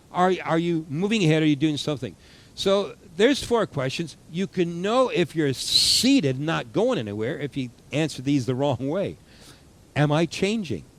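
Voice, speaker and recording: A man talks with very wide swings in pitch, keeping his speed moderate. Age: 60s. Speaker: pastor. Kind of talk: sermon. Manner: halting.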